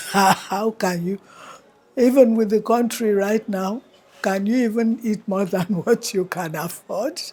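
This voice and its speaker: This woman has a dark, mellow tone. Her pitch sits fairly high. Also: fairly even intonation. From Nigeria, Calabar. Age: 80s+. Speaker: elder interviewee. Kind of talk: interview.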